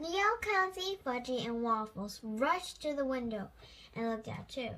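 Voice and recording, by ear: The voice is bright and sharp, moving at a fairly slow pace. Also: lively intonation.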